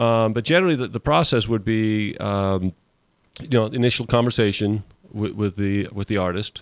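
Speaking at a moderate pace, a man with an unremarkable speaking voice keeps a fairly low pitch and ordinary pitch variation. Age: 40s. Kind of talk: casual chat. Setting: studio.

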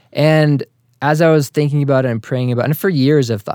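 A man's dark, mellow, medium-pitched voice with a slight Boston accent, at a fairly quick pace, in a dry, close sound with no echo. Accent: general American, little trace of Boston. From Massachusetts, US. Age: 30s. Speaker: Facebook group and website operator, accountant. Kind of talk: casual interview chat.

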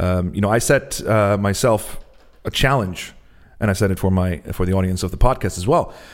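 A man speaks in an Icelandic accent at a fairly low pitch. His pace is moderate and his pitch varies in an ordinary way. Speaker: podcast host and singer-songwriter. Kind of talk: podcast intro and outro; casual chat.

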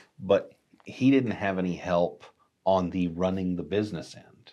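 With a Texan accent, a man speaks in a very deep, low pitch. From Texas. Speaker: digital marketing agency staff. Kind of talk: casual chat.

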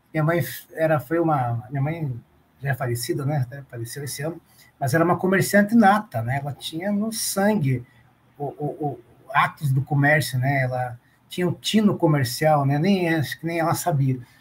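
With ordinary pitch variation and a fairly high pitch, a man talks at a moderate pace while noticeable background noise carries on. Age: 40s. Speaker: retail loss prevention manager. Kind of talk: interview.

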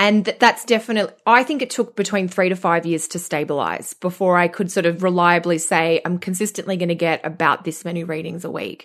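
A woman speaks in a fairly low pitch with ordinary pitch variation. She hardly pauses at all. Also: fairly quick pace, quiet background. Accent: Australian. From Australia. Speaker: astrologer. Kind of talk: casual chat.

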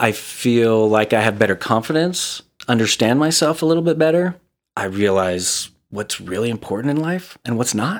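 Speaking in a normal speaking voice at a medium pitch, a man uses lively intonation at a moderate pace on a very clean recording with a silent background. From Southern California (Glendale) and Utah. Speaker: real estate agent, gratitude video creator. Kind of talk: casual interview.

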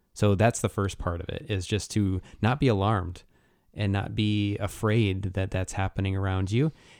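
A man with a plain, everyday voice, fairly low in pitch, fairly even in intonation, at a moderate pace. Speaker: pastor. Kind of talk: casual chat.

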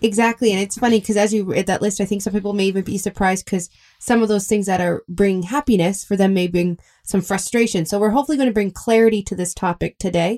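A woman speaks very fast at a medium pitch, her tone dark and mellow. The sound is dry and close with no echo, and her intonation stays fairly even. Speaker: co-host. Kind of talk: radio show conversation. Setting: studio.

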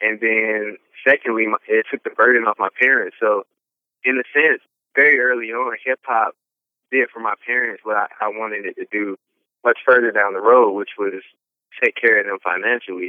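Using an Atlanta accent, a man at medium pitch speaks with fairly even intonation at a moderate pace, with long, frequent pauses. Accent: Southern US (Atlanta). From Atlanta, Georgia. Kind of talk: interview testimony.

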